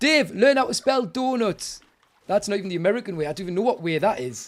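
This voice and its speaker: Speaking at a fairly quick pace with a British accent, the voice swings very widely in pitch. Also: man. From England. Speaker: gaming streamer. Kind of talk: live gameplay commentary with chat. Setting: live stream. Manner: animated.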